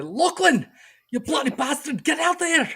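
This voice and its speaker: A man's shouted, put-on character voice in a Scottish accent, extremely high-pitched, at a moderate pace. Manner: shouting, angry.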